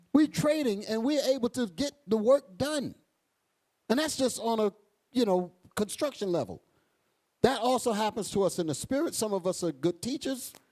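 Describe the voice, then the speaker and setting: A man with a high pitch and lively intonation talks at a moderate pace, broken by long, frequent pauses. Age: 50s. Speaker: bishop preacher. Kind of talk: sermon. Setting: church congregation, also streamed. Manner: halting, repeats words.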